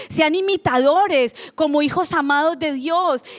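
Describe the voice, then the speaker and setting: Recorded very cleanly against a silent background with a dry, close sound and no echo, a woman speaks at a high pitch with ordinary pitch variation. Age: 40s. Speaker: pastor. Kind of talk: sermon. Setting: church.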